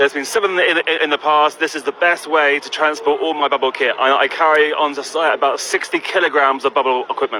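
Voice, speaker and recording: Over noticeable background noise, a man races along at a very fast pace with hardly any pauses, his pitch fairly high and his intonation fairly even. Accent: London. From London. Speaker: bubble entertainer. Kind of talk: live radio interview. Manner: halting with repetitions.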